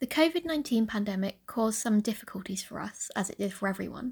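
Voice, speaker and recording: A woman speaks in a somewhat breathy voice. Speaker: linguist and podcast host. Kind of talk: scripted narration.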